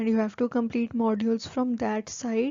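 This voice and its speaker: A woman speaks with an Indian accent. Her pitch is fairly high. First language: Hindi. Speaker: new-hire trainee vlogger. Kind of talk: casual vlog talk to camera. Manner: casual, filler-heavy.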